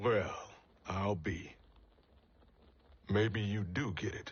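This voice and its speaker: A put-on character voice from a man, gruff and raspy, fairly low in pitch, very slow, with fairly even intonation. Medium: video game. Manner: blunt, gruff, colloquial.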